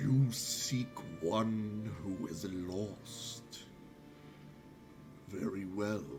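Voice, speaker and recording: Over clear background noise, a man performs a put-on character voice at a fairly low pitch. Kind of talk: fantasy game master character voice. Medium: actual play. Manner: slow, formal, archaic speech.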